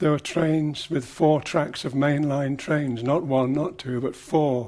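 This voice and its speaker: Fairly slow and fairly even in intonation, a man speaks at a fairly high pitch. His tone is dark and mellow. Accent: English Midlands. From English Midlands, Leicester. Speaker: design teacher and writer. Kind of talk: interview recollection. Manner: reflective, some hesitations.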